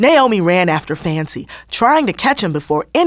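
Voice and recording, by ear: Someone is reading aloud in a natural voice.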